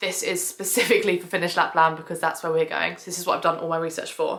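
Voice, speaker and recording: A woman's medium-pitched voice with a southern English accent. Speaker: family travel vlogger. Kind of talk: casual vlog tutorial. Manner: fast; chatty, many fillers.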